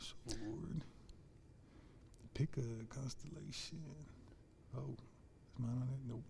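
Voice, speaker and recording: A man talks at a very slow pace with long, frequent pauses. His pitch varies in an ordinary way, and the room echo is audible. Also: medium pitch for a man. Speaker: school teacher and coach. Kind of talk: casual chat interview over lunch.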